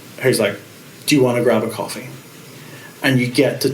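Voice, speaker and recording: With a Northern Irish accent, a man at medium pitch is heard amid audible room echo and noticeable background noise. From Northern Ireland, Carrickfergus, Co. Antrim. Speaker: pastor. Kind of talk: interview. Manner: halting.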